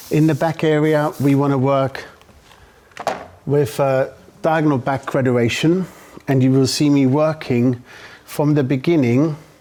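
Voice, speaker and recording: With a German accent, a man speaks fairly slowly at a fairly high pitch, keeping his loudness very even and his intonation fairly even, with long, frequent pauses over noticeable background noise. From Germany. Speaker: hairdresser. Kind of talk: live demonstration; casual interview.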